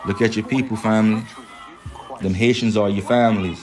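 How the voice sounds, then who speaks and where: A man talks at a fairly low pitch with audible room echo. Music plays in the background. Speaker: spiritual livestream host. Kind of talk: livestream talk. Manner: animated.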